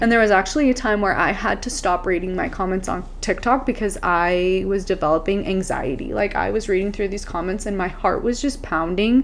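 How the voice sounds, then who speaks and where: A woman talks at a fairly quick pace with hardly any pauses and ordinary pitch variation. Noticeable background noise runs underneath. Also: medium pitch for a woman. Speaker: mom influencer. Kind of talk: casual chat. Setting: Airbnb room. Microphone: echoey room audio.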